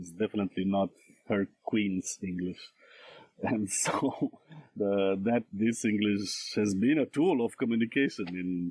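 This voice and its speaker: A fairly slow Romanian accent with ordinary pitch variation, in a dry, close sound with no echo. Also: man, fairly low pitch for a man. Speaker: scholar and translator. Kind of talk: podcast interview. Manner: halting, many fillers.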